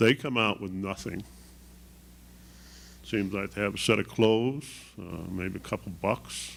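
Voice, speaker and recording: Showing vocal fry and lively intonation, a man with a fairly low pitch speaks at a fairly slow pace, with long, frequent pauses. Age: 70s. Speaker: volunteer community coach. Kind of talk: panel testimony. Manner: halting.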